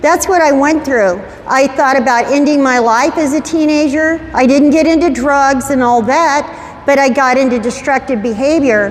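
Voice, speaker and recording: Noticeable background noise and audible room echo surround a woman speaking at a moderate pace in a high pitch with ordinary pitch variation. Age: 70s. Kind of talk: talk to teenagers at youth group. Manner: conversational.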